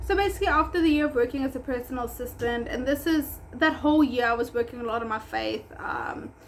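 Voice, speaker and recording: Speaking very fast with hardly any pauses, a woman with a South African accent uses a high pitch and ordinary pitch variation. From South Africa, Durban. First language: Afrikaans. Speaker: pet groomer and business owner. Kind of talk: vlog storytime. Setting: at home. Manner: casual, many fillers.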